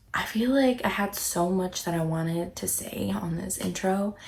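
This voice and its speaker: A woman speaks quietly at a fairly slow pace with hardly any pauses, her medium pitch moving with ordinary variation over noticeable background noise. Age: 20s. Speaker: navy sailor and vlogger. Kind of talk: casual vlog talk to camera. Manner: quiet, hushed.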